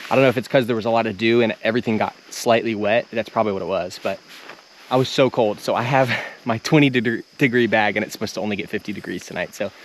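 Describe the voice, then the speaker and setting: Over noticeable background noise, a man talks at a very fast pace. His intonation stays fairly even. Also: medium pitch for a man. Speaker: outdoor vlogger. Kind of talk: casual chat. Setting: outdoors.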